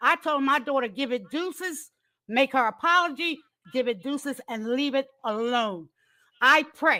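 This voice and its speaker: Using a raised, projected voice, a woman speaks at a moderate pace and a high pitch, her tone animated, bright and sharp. The recording is very clean, with a silent background. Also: lively intonation. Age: 60s. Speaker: mother of a content creator on a live panel. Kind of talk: heated debate.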